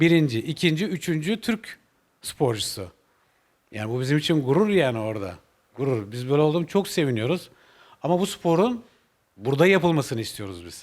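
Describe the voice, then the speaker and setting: A man with a fairly high pitch talks at a moderate pace, with very wide pitch swings and big swings in loudness. He leaves long, frequent pauses. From Turkey, Balıkesir. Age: 40s. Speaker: motorcycle racer and mechanic. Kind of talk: interview. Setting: motorcycle shop. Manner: hesitant with many fillers.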